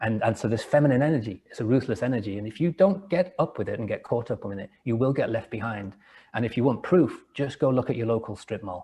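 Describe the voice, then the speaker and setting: Very fast speech in an English accent, with a dark, mellow tone and a somewhat breathy quality. The background is quiet. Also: man, medium pitch for a man, lively intonation. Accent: English, still noticeable. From England, rural village after early years in Liverpool. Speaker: entrepreneur and author. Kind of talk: interview. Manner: halting, with frequent word repetitions.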